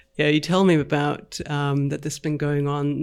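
The delivery moves at a moderate pace. Its intonation stays monotone and flat. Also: man. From Europe. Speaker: podcast host. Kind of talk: interview. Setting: video call.

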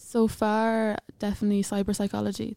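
A woman speaks in a dark, mellow, monotone voice with flat intonation. The recording is very clean, with a silent background and a dry, close sound with no echo. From Ireland, County Offaly. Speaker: university student. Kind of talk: podcast interview.

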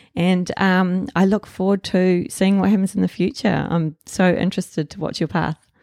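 A woman with a New Zealand accent and medium pitch talks at a moderate pace with hardly any pauses. Her intonation is fairly even, and the sound is dry and close with no echo. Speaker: artist acting as interviewer. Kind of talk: interview, casual chat.

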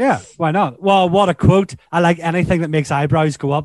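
A man speaks in a high voice with a Northern Irish accent and ordinary pitch variation. The sound is dry and close, with no echo. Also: quiet background. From Northern Ireland. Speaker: podcast host. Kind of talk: casual chat. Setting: video call.

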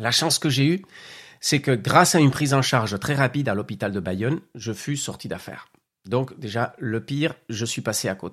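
The recording is very clean and the background silent. In it, a man talks with lively intonation. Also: medium pitch for a man, moderate pace. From Spanish Basque Country. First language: Spanish (speaking French). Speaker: podcast host and entrepreneur. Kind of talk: personal testimony.

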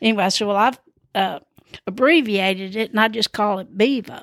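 Someone with a Southern US accent talks at a very fast pace in an animated tone. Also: woman. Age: 70s. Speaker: podcast host. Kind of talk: casual storytelling monologue. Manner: animated, laughs often; rambling, many fillers.

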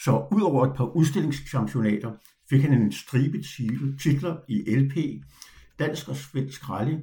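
Speaking at a very slow pace with long, frequent pauses, a man uses a medium-pitched, dark, mellow voice with vocal fry and ordinary pitch variation. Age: 70s. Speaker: podcast host and retired dog trainer. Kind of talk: personal storytelling monologue.

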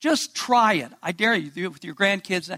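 Projecting his voice, a man speaks at a high pitch with a bright, sharp tone. His intonation is lively at a moderate pace, and the sound is dry and close with no echo. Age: 70s. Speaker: pastor. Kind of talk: sermon.

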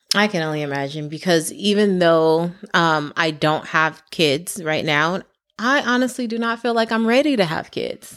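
Recorded very cleanly with a silent background, a woman speaks in a fairly low pitch with lively intonation. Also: moderate pace. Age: 30s. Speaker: podcast co-host, healthcare student. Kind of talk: casual chat.

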